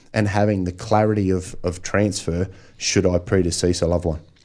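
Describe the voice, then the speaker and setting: Recorded very cleanly against a silent background, a man with an Australian accent talks fairly quickly, his fairly low voice dark and mellow in tone. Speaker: financial planner. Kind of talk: radio interview. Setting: radio studio. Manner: casual.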